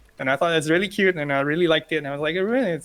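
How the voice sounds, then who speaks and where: Talking at a very fast pace, a man with a fairly high pitch uses ordinary pitch variation over noticeable background noise. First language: not English (English is third language). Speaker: card game content creator. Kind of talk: interview.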